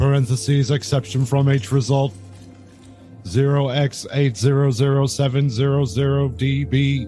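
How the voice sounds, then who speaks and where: Clear music plays behind a man's put-on character voice. His pitch sits in the medium range. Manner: demonic, monstrous.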